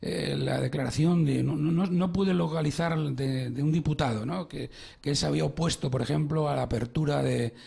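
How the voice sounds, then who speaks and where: Speaking at a moderate pace, a man with a Madrid accent uses a medium pitch and lively intonation. His tone is dark, mellow and somewhat breathy. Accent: Madrid Spanish, noticeable. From Spain, Madrid. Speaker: radio host, financial psychologist. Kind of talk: radio interview. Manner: hesitant, many fillers.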